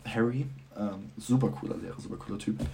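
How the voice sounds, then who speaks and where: Talking at a very fast pace with lively intonation, a man's voice carries audible room echo. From Germany. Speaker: student. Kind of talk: casual chat.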